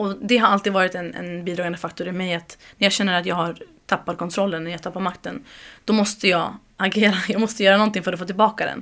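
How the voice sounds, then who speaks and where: This woman's voice sits at a medium pitch. She speaks very fast with fairly even intonation. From Uppsala, Sweden. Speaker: community group organizer. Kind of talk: interview.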